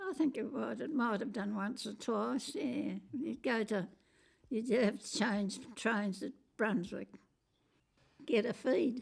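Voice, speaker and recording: A woman with an Australian accent, fairly high pitch and ordinary pitch variation, at a very slow pace with long, frequent pauses. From Western Australia. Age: 80s+. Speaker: interviewee. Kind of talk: oral history interview. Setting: at her home.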